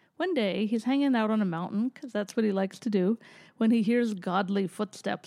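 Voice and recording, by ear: With ordinary pitch variation, the clip is someone reading aloud in a natural voice.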